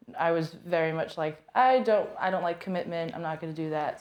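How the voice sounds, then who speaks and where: Against a quiet background, a woman with a plain, everyday voice and an American accent speaks at a moderate pace, fairly low in pitch, with ordinary pitch variation. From United States. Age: 20s. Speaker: podcast guest. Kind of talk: casual chat.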